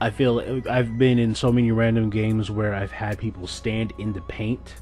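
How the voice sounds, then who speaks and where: A man's medium-pitched, flat, monotone voice at a moderate pace, with music in the background. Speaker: gaming youtuber. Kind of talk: gameplay commentary. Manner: casual.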